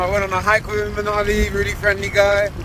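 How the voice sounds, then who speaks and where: No echo colors this dry audio, but background noise is clearly noticeable. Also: man. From UK. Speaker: travel vlogger. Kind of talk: vlog narration. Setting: outdoors. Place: motorbike. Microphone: phone near.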